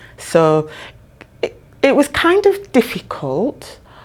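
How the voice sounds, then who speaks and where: Her voice carries a Yorkshire accent and a dark, mellow tone. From northern England (Bradford, Yorkshire). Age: 60s. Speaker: social housing professional. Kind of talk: interview.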